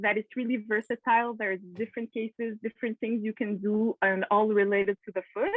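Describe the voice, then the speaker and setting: A woman with a Quebec accent and a fairly high voice. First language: French. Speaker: podiatrist. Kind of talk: Q&A presentation on video call. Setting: video call. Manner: halting, many fillers.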